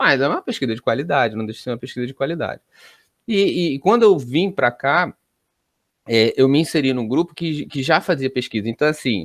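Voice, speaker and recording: A man with a medium pitch speaks at a fairly quick pace with ordinary pitch variation. The sound is dry and close with no echo, and the background is quiet. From Brazil. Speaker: college professor. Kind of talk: interview. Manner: hesitant, many fillers.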